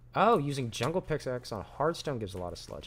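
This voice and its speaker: With vocal fry and a fairly high pitch, a man talks at a fairly quick pace in a very clean recording with a silent background. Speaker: gaming streamer. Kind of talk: live gameplay commentary. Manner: fast.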